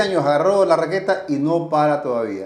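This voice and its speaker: An unremarkable speaking voice from a man, fairly high in pitch, with lively intonation at a fairly slow pace. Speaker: tennis podcast host. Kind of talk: podcast intro.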